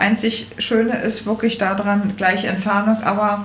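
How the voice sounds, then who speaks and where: A woman with a Berlin accent speaks at a very slow pace and a fairly high pitch. Audible room echo and noticeable background noise come through. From Berlin, Germany (Charlottenburg). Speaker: shop owner. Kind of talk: interview.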